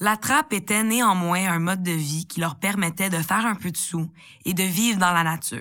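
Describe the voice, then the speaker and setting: In a very clean recording with a silent background, a woman speaks at a moderate pace and medium pitch, her tone bright and sharp with ordinary pitch variation. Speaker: podcast host. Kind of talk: scripted narration.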